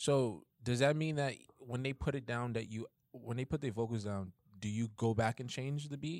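A man with a New York accent, medium pitch, ordinary pitch variation and a moderate pace. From Bronx, New York. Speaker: pianist. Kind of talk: casual chat.

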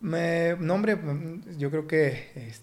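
A man talks with ordinary pitch variation. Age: 30s. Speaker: fitness coach and former pro footballer. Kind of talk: casual interview. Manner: halting, many repetitions.

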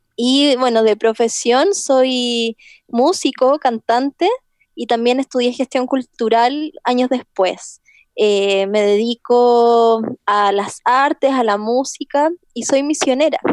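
A woman talks very slowly in a high voice with ordinary pitch variation, the sound dry and close with no echo. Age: 30s. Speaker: singer and arts director. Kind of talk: interview.

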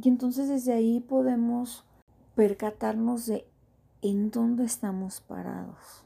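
A woman's fairly high voice, dark and mellow in tone, monotone and flat, at a fairly slow pace. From Mexico. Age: 30s. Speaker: podcast host. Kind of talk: personal reflective monologue.

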